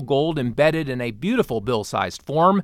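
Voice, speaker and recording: This man has an unremarkable speaking voice, fairly high in pitch, with lively intonation. The recording is very clean against a silent background. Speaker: podcast host. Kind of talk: sales pitch; market wrap news reading. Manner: brisk, upbeat pitchman patter; polished, formal.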